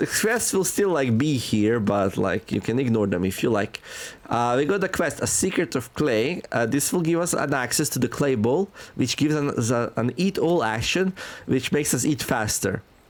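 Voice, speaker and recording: At a moderate pace, a man with a non-native accent speaks with very wide pitch swings and very even loudness. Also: medium pitch for a man. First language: not English. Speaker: gaming youtuber. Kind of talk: gameplay commentary. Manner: casual, many filler words.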